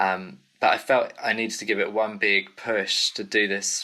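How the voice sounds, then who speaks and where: This man speaks with an English accent. His pace is moderate. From UK. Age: 30s. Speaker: singer-songwriter. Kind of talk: casual interview chat. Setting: video call.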